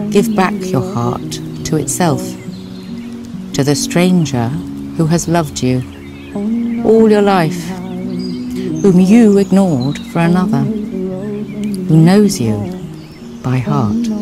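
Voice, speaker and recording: Over clear background music, a woman speaks very slowly in a dry sound with no echo. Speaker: actress. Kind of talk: poetry reading. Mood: calm, tender. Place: garden.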